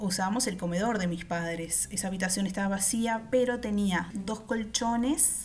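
A medium-pitched woman's voice with a Uruguayan accent and audible room echo. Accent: Uruguayan Spanish (rioplatense). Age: 30s. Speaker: podcast host. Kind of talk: personal storytelling.

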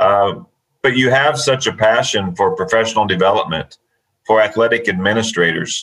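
A man with an ordinary speaking voice talks at a moderate pace with ordinary pitch variation and very even loudness. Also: medium pitch for a man. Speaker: podcast host, athletic administrator. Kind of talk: casual live podcast chat.

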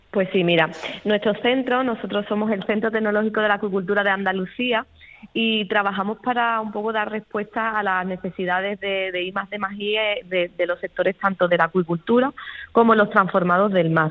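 Fairly quick pace with fairly even intonation. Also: woman, medium pitch for a woman. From Cádiz province, Andalusia, Spain. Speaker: marine biologist, aquaculture research manager. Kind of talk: interview. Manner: hesitant, many repetitions.

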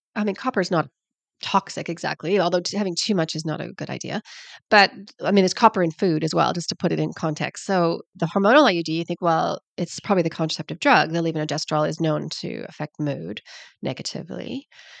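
The sound is dry and close with no echo, over a quiet background. A woman speaks very fast at a fairly low pitch, with ordinary pitch variation and some vocal fry. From Canada. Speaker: naturopathic doctor and author. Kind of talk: casual interview.

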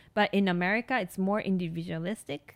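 A woman with a Japanese accent at a moderate pace, dry and close with no echo, on a very clean recording with a silent background. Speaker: nurse practitioner and podcast host. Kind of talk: solo podcast monologue. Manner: hesitant, many fillers.

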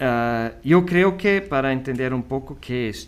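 A man with a German accent at a very slow pace. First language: German (speaking Spanish). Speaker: school vice principal. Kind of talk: interview. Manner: hesitant.

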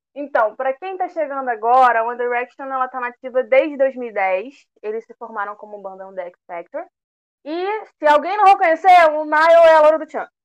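A woman's high voice at a fairly quick pace, with very wide pitch swings and big swings in loudness. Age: 20s. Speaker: fan podcast co-host, historian. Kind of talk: casual chat.

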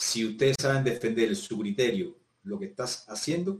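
Somewhat breathy and fairly slow, the voice moves through very wide pitch swings. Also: man. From Cuba, Havana province. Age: 50s. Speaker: physical education teacher. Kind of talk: casual interview conversation.

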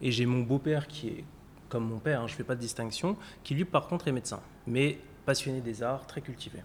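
At a fairly quick pace, a man speaks in a somewhat breathy, medium-pitched voice. He leaves long, frequent pauses, and his pitch varies in an ordinary way. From France, Paris. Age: 30s. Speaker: insurance executive. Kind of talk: interview.

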